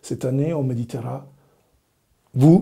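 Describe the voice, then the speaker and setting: Somewhat breathy, a man speaks at medium pitch in a dark, mellow tone. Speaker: religious brother, evangelist. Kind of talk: personal testimony to camera. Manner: friendly, warm.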